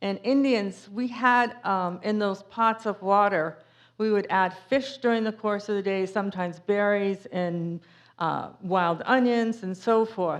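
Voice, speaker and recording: A woman speaks in a strong New England accent at a fairly slow pace. Her pitch is medium, with ordinary pitch variation. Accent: thick New England. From Cape Cod, Massachusetts. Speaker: author and speaker. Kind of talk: public talk with Q&A. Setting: museum talk with audience. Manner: casual, with many fillers.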